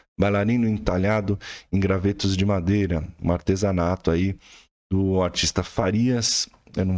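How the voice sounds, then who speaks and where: Fairly even intonation marks a man's very deep, low voice at a moderate pace. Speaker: art teacher. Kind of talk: tutorial.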